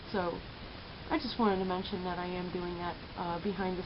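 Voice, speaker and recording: In a room with audible echo and noticeable background noise, a woman of medium pitch speaks at a moderate pace in a flat monotone. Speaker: vlogger and entrepreneur. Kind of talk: casual vlog monologue. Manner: hesitant, many filler words; stutters when upset.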